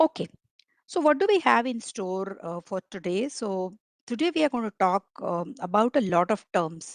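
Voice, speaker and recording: A woman with a Marathi accent speaks at a moderate pace. Her medium pitch moves in very wide swings. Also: dry, close sound with no echo. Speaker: agile coach and trainer. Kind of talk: online training lecture. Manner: hesitant with frequent fillers.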